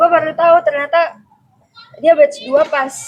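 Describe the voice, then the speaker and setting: A woman speaks with a Pekanbaru accent. Her pace is fairly slow. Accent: Sumatran (Pekanbaru). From Sumatra (Pekanbaru). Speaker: university student. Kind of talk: casual chat.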